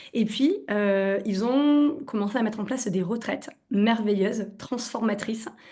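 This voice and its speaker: A woman's fairly high, somewhat breathy voice with a dark, mellow tone, lively intonation and a slight southwestern French accent. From southwestern France. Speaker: naturopath. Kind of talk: webinar presentation. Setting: online webinar. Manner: hesitant, many fillers.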